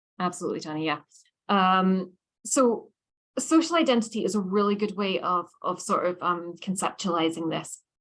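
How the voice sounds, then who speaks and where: Speaking with a Scottish accent, a woman keeps a moderate pace. Her medium pitch carries lively intonation. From Scotland. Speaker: lecturer. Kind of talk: lecture. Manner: conversational, many fillers.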